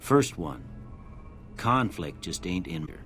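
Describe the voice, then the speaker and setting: Put-on character voice, drawling at a fairly slow pace, with clear background noise. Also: man. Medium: video game. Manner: folksy, drawling.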